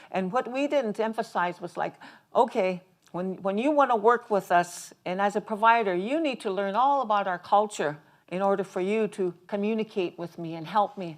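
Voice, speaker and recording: A woman's medium-pitched voice keeps a moderate pace and shows ordinary pitch variation. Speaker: community health advocate. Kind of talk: panel discussion. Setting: stage with audience. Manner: halting, with frequent fillers and restarts.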